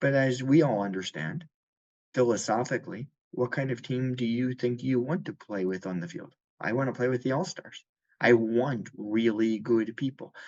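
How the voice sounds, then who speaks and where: This is an unremarkable speaking voice with an American accent, at a moderate pace with ordinary pitch variation. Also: man, medium pitch for a man. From United States. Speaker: insurance company chief executive. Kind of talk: podcast interview.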